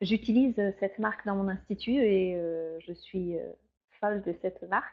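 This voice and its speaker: A woman with a medium-pitched voice speaks at a moderate speed. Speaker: beauty trainer and beautician. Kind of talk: product training webinar. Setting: online webinar. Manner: hesitant, many fillers.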